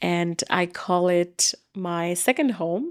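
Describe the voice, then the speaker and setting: A fairly low-pitched woman's voice with a Bengali accent on a very clean recording with a silent background. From Bangladesh. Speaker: educator and former newscaster. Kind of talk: interview conversation.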